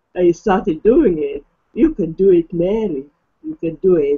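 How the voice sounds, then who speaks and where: A woman speaks at a fairly slow pace. Her medium-pitched voice has lively intonation. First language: not English. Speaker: online marketing affiliate, hangout host. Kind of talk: casual chat. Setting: video call.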